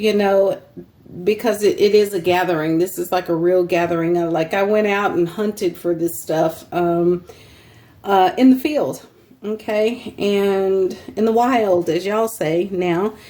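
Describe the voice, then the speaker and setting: Speaking fairly slowly with a Texan accent, a woman uses a dark, mellow tone and ordinary pitch variation. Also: medium pitch for a woman. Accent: Texan US Southern. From Texas. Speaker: fabric seller and crafter, channel host. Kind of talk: casual sales show-and-tell. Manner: casual, filler-heavy with many ums.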